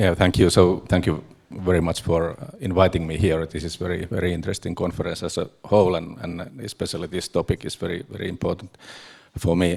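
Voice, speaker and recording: Very deep and low, a man's voice moves at a fairly quick pace with fairly even intonation and a Finnish accent. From Finland. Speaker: energy industry executive, panelist. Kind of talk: panel discussion. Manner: halting, many fillers.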